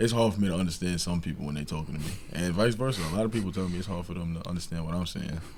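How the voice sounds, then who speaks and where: Speaking very fast with hardly any pauses, a man with a very deep, low voice and a New York accent is heard in a room with audible echo. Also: ordinary pitch variation. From New York, Long Island. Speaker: college basketball player. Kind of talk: casual interview.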